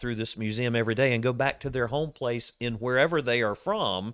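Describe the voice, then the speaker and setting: An unremarkable speaking voice with an American accent and ordinary pitch variation, dry and close with no echo, on a very clean recording with a silent background. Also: man. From Florida. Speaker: museum curator. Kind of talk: casual chat. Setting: museum.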